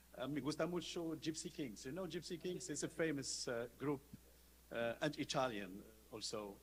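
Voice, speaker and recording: Speaking at a very slow pace, a man with fairly high pitch shows ordinary pitch variation. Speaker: law professor. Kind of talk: conference talk. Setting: conference panel. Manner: halting.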